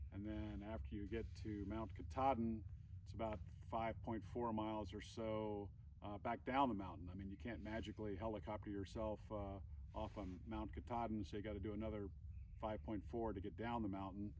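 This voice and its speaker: A man speaks at a fairly quick pace in a fairly low pitch, with vocal fry, ordinary pitch variation and audible room echo. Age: 60s. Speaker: hiker and vlogger, Navy veteran. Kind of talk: vlog announcement. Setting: outdoors on a trail. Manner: halting, many fillers.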